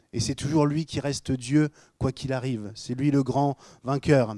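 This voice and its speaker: A dark, mellow voice at a fairly slow pace, with fairly even intonation and a dry, close sound with no echo. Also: man, very clean recording, silent background. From Normandy, Rouen. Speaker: pastor. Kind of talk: sermon. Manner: casual, joking.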